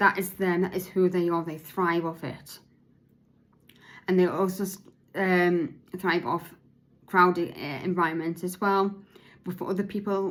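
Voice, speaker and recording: A woman speaks at a fairly slow pace in a medium pitch, her intonation monotone and flat. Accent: British. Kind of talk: podcast monologue, partly read from notes. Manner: slurred, halting speech.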